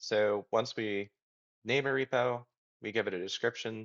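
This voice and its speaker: At a moderate pace, the man talks with a medium pitch and ordinary pitch variation. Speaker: software developer. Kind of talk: tutorial. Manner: casual with fillers.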